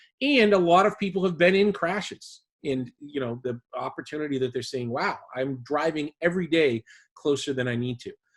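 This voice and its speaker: With a Boston accent, a man speaks at a fairly high pitch. His intonation is lively. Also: moderate pace. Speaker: driving safety instructor. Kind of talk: webinar presentation. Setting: online webinar.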